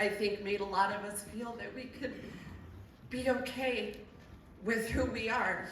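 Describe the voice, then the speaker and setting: Amid noticeable background noise and audible room echo, a woman with a fairly high pitch speaks fairly slowly with fairly even intonation. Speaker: theater volunteer and actor. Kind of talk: eulogy. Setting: theater stage with audience. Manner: loud.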